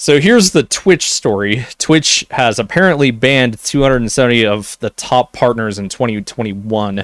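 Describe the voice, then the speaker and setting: Recorded very cleanly against a silent background with a dry, close sound and no echo, a man with an ordinary speaking voice talks at medium pitch and moderate pace, with lively intonation and hardly any pauses. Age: 20s. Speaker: gaming news podcast host. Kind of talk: solo news commentary. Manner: casual, conversational.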